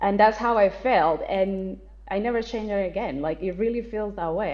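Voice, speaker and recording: The speaker has a Colombian accent. The pitch variation is ordinary. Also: woman. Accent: non-native English, Colombian Spanish. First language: Spanish. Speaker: actress, writer and spiritual content creator. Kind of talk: podcast interview.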